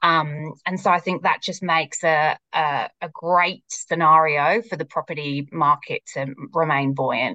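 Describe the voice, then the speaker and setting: In a British accent, a bright, sharp voice moves at a fairly slow pace with hardly any pauses and fairly even intonation, in a dry, close sound with no echo. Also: woman, very deep, low pitch for a woman. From UK. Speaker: marketing executive. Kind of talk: casual interview chat.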